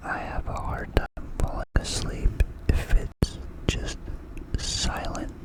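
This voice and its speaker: A man whispers at a very slow pace. Noticeable background noise can be heard. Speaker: ASMR creator. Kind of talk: ASMR whisper ramble. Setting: bedroom, window open, night ambience. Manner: whispered.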